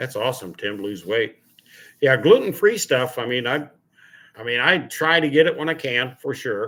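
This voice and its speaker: Speaking at a moderate pace, a man has an unremarkable speaking voice of medium pitch. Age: 60s. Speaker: car channel host. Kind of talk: casual livestream chat. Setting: live stream at home.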